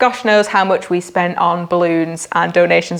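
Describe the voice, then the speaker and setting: A woman with a Lancashire accent speaks in a fairly low pitch. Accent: Preston, Lancashire. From northern England, Preston, Lancashire. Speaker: marketing agency founder. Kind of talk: casual monthly recap vlog. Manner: chatty, animated.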